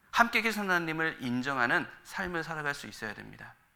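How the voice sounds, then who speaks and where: A man's bright, sharp tone with lively intonation and audible room echo. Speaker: pastor. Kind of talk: sermon. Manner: fast.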